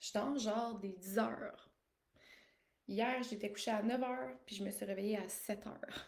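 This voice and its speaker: Amid audible room echo, a woman speaks at a fairly high pitch and a fairly slow pace. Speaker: life coach. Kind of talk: live stream monologue. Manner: casual, with many fillers.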